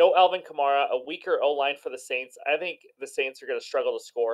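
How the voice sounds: A man puts on a hoarse character voice and talks at a fairly quick pace.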